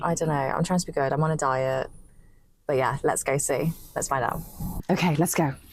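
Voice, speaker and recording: With a British accent, a woman speaks at a fairly quick pace in a very deep, low pitch, her intonation fairly even and her loudness very even, broken by long, frequent pauses. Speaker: English teacher. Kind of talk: casual vlog talk to camera. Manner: fast, fluent.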